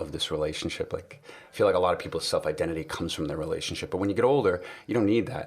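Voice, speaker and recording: The speaker has a relaxed tone. There is a slight New York accent. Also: man. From New York City. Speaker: podcast guest. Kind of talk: casual chat. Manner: relaxed, conversational.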